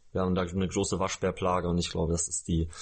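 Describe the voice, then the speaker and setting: A man's very deep, low-pitched voice. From Lower Saxony, Germany. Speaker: musician and after-school teacher. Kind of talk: casual chat. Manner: halting.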